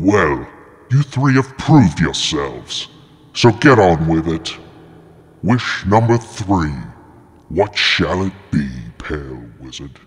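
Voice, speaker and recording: Putting on a character voice, a man speaks at a very deep, low pitch and a fairly slow pace, with long, frequent pauses. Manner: grandiose, mocking, theatrical.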